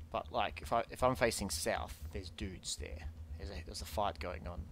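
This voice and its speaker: A man with a very deep, low, somewhat breathy voice talks at a fairly quick pace with ordinary pitch variation, the sound dry with no echo and light background noise behind him. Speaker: gamer. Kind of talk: casual gameplay commentary with teammate. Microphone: headset.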